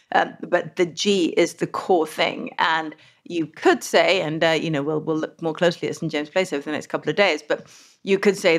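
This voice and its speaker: With a British accent, a woman at a fairly low pitch talks at a very fast pace with ordinary pitch variation, in a very clean recording with a silent background. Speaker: finance podcast host and columnist.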